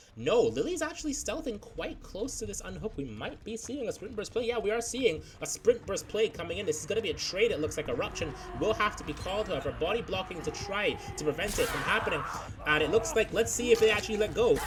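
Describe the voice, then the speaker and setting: A man talks very fast while noticeable background noise runs behind him. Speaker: esports caster. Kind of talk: live commentary. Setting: livestream. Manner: animated.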